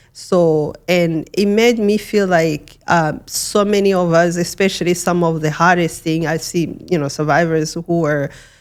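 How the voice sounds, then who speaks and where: Speaking with a Rwandan accent, a woman at fairly low pitch keeps fairly even intonation and a moderate pace with hardly any pauses, on a very clean recording with a silent background. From Rwanda, western province. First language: Kinyarwanda. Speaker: genocide survivor and human rights advocate. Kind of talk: interview testimony. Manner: halting, with many repetitions and fillers.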